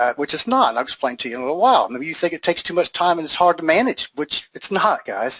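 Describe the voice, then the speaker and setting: In a dry, close recording with no echo, a man rushes along at a very fast pace with hardly any pauses, his fairly high pitch swinging very widely. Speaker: e-commerce webinar presenter. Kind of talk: live webinar sales presentation. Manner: animated.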